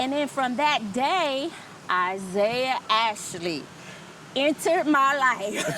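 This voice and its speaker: A woman with an American accent speaks in a raised, projected voice that sits high for a woman and moves in very wide pitch swings. Her pace is very slow and her loudness very even, with noticeable background noise behind her. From New Jersey, US (Trenton). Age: 50s. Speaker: expat interviewee. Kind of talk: casual interview.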